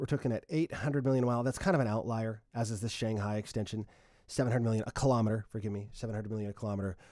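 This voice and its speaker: On a very clean recording with a silent background, a man talks at a very fast pace at a medium pitch with ordinary pitch variation. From Canada. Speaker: radio transportation reporter. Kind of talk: livestream Q&A explainer. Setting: home livestream. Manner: casual, conversational with fillers.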